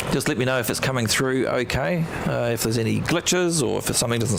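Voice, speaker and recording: The speaker has a New Zealand accent and a fairly quick pace. Audible room echo and noticeable background noise surround the voice. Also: man. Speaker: aviation livestream host. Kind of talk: live commentary. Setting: outdoors at airport. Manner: halting, many fillers.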